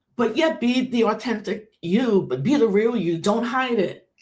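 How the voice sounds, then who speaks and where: A woman speaks at a moderate pace with lively intonation and a fairly high pitch. Audible room echo surrounds her voice. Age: 50s. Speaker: activist and online commentator. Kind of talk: personal video monologue. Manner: halting.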